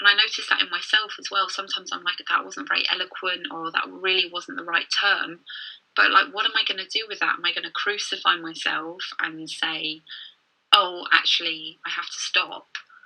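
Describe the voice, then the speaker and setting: A fairly quick delivery in a southern English accent, with ordinary pitch variation and big swings in loudness. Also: woman, medium pitch for a woman. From London, England. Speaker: confidence coach. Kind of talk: casual chat.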